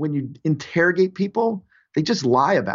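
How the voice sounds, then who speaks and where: Here is an ordinary speaking voice from a man. He talks at a fairly quick pace with lively intonation. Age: 50s. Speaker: innovation consultant. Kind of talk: interview.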